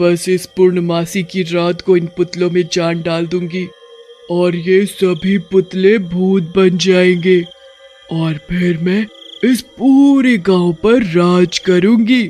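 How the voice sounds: In a put-on character voice pitched high, a man speaks very slowly as faint music plays in the background.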